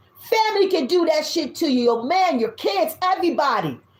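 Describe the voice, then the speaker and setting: Loud and animated, a woman speaks at a moderate pace with very wide pitch swings. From US South. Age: 50s. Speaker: tarot reader. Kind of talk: tarot reading.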